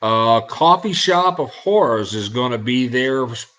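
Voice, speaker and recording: Medium-pitched male speech in a Southern US accent. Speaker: internet radio host. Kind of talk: casual show talk, event promotion. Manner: hesitant, many fillers.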